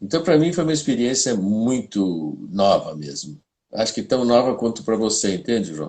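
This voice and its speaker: A man talks at a moderate pace and a medium pitch. His voice makes very wide pitch swings. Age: 70s. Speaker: playwright and filmmaker. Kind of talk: casual chat. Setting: live stream.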